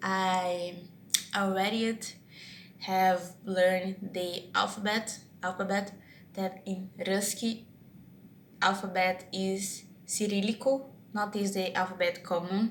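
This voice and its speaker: Very slow and full of long, frequent pauses, a woman with a Brazilian Portuguese accent speaks at a medium pitch in a somewhat breathy, monotone, flat voice. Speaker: vlogger practicing English. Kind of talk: casual monologue vlog. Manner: halting, many restarts and fillers.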